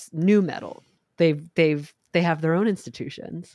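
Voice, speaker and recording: Slowish in pace, a woman talks in a normal speaking voice, fairly low in pitch, with ordinary pitch variation. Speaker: podcast host. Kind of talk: casual banter podcast chat.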